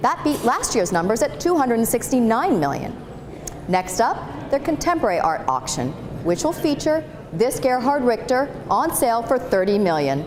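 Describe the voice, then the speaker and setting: There is noticeable background noise. A woman with a fairly high pitch speaks at a moderate pace, her pitch swinging very widely. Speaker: TV reporter. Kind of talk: news stand-up delivery on business and art stories.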